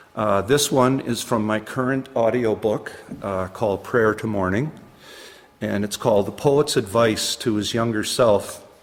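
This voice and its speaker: With a Canadian Maritime accent, a man speaks at a fairly slow pace and a medium pitch. His intonation stays fairly even, and background noise is noticeable. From New Brunswick, Canada. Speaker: poet. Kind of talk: casual chat; poetry reading.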